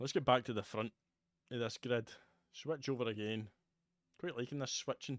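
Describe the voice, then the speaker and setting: In a Scottish accent, a man speaks at medium pitch with ordinary pitch variation. Long, frequent pauses break his speech, and the sound is dry and close with no echo. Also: moderate pace. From Scotland, Motherwell near Glasgow. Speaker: video game streamer. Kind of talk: live gameplay commentary. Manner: casual, conversational.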